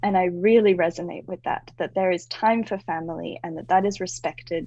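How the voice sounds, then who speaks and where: The tone is dark and mellow, in an Australian accent. Delivery is fairly quick, with fairly even intonation. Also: woman, medium pitch for a woman. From Australia, moved around (also US). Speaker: branding and website designer. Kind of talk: podcast interview. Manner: conversational, uses fillers.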